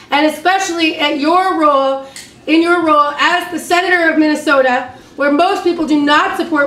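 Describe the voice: A woman's high pitched, fairly bright voice with audible room echo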